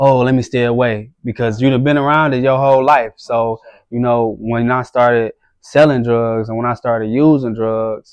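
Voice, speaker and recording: This man talks with an American accent at a moderate pace. His pitch is medium and his intonation monotone and flat. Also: quiet background. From US Midwest, east side of Detroit. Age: 30s. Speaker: gang interventionist and community activist. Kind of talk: podcast interview. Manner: halting, many fillers.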